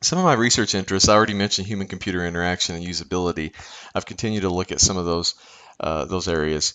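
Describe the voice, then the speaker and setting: A man talks at a very fast pace with fairly even intonation. His pitch is very deep and low. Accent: slight Kentucky. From Kentucky. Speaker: professor. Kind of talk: lecture. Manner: halting, many fillers.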